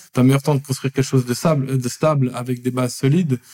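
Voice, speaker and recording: Dry and close with no echo, a man's dark, mellow, medium-pitched voice moves at a fairly quick pace in a monotone, flat intonation. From Switzerland, Lausanne. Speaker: startup founder and CEO. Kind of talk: podcast interview.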